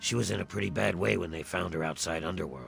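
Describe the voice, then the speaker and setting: A man uses a put-on character voice that is raspy and very deep and low-pitched, with clear music in the background. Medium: video game. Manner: measured, clinical.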